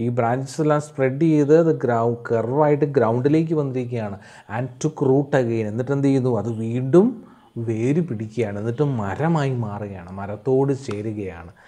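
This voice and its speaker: This man's voice has a dark, mellow tone, a medium pitch and ordinary pitch variation. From Kerala, India. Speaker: English tutor for school students; teacher. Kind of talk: lecture. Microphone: webcam.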